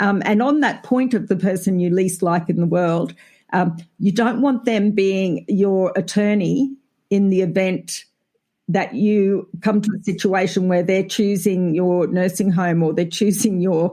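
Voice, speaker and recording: Speaking with an Australian accent, a woman has a medium pitch, a dark, mellow tone, ordinary pitch variation, very even loudness and a fairly slow pace. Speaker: family lawyer. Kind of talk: casual chat.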